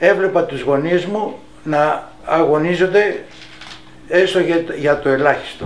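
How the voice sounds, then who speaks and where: With noticeable background noise and audible room echo, a man speaks at a high pitch. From Greece, Athens area. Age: 80s+. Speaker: wartime occupation witness. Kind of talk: testimony. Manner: halting.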